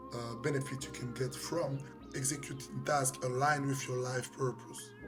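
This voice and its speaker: Over music in the background, a man with a medium pitch speaks at a moderate pace and with fairly even intonation. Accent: French. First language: French. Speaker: life coach, professional boxer. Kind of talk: motivational talk to camera.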